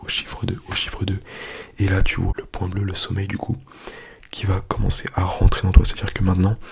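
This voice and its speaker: A man whispers in a gentle tone at a fairly quick pace, with long, frequent pauses. Noticeable background noise runs underneath. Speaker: ASMR YouTuber. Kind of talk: ASMR soft-spoken hypnosis, whispered countdown to sleep. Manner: hushed, whispering, gentle.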